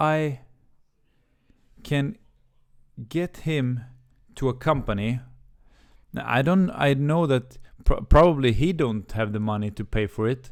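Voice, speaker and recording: In a very clean recording with a silent background, a man of medium pitch talks fairly slowly with lively intonation and long, frequent pauses. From Sweden, Helsingborg. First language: Swedish. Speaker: YouTuber, career coach. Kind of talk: storytime monologue. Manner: halting, many fillers and repeats.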